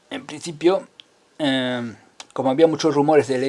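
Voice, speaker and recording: This man has a fairly high pitch and a dark, mellow tone. His intonation stays fairly even. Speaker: conspiracy commentator. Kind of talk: video monologue. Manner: fast; halting.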